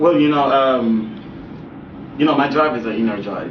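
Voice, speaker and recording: There is audible room echo and noticeable background noise. A man speaks at a moderate pace with ordinary pitch variation. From Jamaica, Kingston. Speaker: actor and model. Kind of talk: interview. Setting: studio. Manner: casual, filler-heavy.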